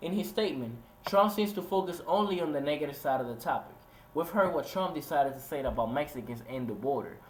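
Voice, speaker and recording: With audible room echo, a man talks very fast in a fairly high pitch with lively intonation. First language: Spanish. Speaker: student soldier and video essayist. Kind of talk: scripted narration.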